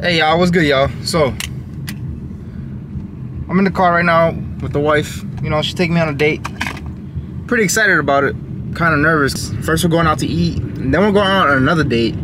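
Over noticeable background noise, a man talks at a fairly quick pace with ordinary pitch variation, the sound dry with no echo. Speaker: vlogger husband. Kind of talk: casual vlog chat. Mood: relaxed, playful. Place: car. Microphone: phone near.

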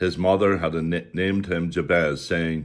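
A man's very deep, low voice with vocal fry, ordinary pitch variation and a fairly slow pace, against a quiet background. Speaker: preacher. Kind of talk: sermon. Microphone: webcam.

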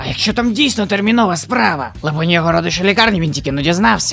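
A put-on character voice sits at a middle pitch and races at a very fast pace. Clear background noise is present. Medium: fan dub. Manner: polite, fretful.

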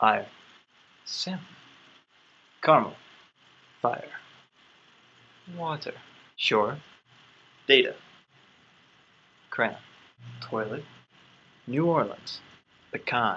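A man with an American accent speaks at a very slow pace. He leaves long, frequent pauses. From Colorado. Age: 20s. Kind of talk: dialect survey reading and answers to camera.

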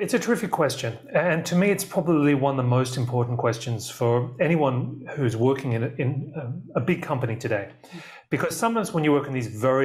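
Ordinary pitch variation runs through the somewhat breathy voice of a man. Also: quiet background. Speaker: remote guest. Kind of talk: interview answer. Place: studio.

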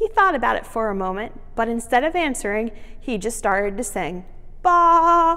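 The words are read aloud in a natural voice. Lively intonation runs through them.

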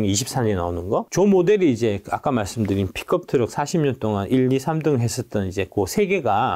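A man's medium-pitched voice with a dark, mellow tone and very wide pitch swings, against a quiet background. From South Korea. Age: 50s. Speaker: former stock analyst and company executive; former stock analyst. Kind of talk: interview with slide presentation. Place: studio.

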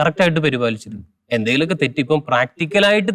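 A man with a plain, everyday voice and a fairly high pitch speaks with lively intonation. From Kerala, Palakkad district, raised near Chalakudy. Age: 30s. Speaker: lay preacher. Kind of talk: testimony interview.

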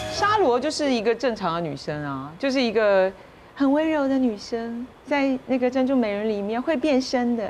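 Her pitch high and her intonation lively, a woman speaks at a moderate pace amid light background noise. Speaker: voice actor. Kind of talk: casual chat. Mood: warm, smiling. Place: studio.

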